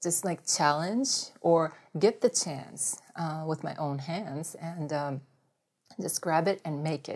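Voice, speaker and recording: A woman with a Japanese accent, very deep and low in pitch, speaking at a very slow pace. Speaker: former Olympic volleyball player. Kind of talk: interview. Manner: halting, many fillers.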